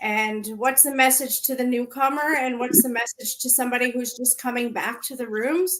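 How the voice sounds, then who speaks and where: A woman's high-pitched, bright, sharp voice with a Canadian accent. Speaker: recovery podcast co-host. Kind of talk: memorial livestream chat. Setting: livestream video call.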